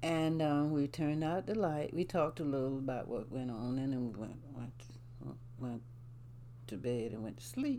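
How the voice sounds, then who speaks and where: In a South Carolina Lowcountry accent, a woman with a very deep, low pitch speaks in a dark, mellow tone, with audible room echo around her. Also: ordinary pitch variation, moderate pace. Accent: Southern US (South Carolina, Lowcountry). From US South, South Carolina. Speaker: grandmother sharing life story. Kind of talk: casual interview, storytelling. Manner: halting, many fillers.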